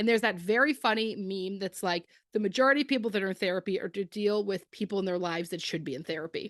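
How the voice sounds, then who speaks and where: In a dry, close recording with no echo and a quiet background, a woman with an East Coast accent speaks at medium pitch in an animated tone, at a very fast pace with hardly any pauses and ordinary pitch variation. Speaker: podcast co-host. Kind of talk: casual chat.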